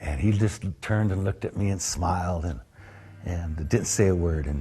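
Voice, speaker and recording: Here a man speaks with an American accent at a moderate pace. His voice is very deep and low, with ordinary pitch variation. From California, US. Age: 60s. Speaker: longtime local resident. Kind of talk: interview, personal storytelling. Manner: halting, many fillers.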